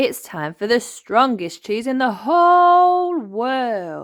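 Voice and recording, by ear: In a put-on character voice, a woman speaks slowly at a fairly high pitch with a fairly bright tone and big pitch swings, on a very clean recording with a silent background.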